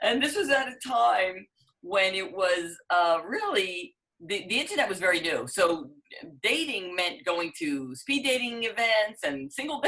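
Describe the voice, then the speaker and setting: At a moderate pace, a woman with a New York accent speaks, her pitch swinging very widely. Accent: New York area American. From New Jersey, US East Coast. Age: 60s. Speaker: business owner and dating coach. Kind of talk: interview.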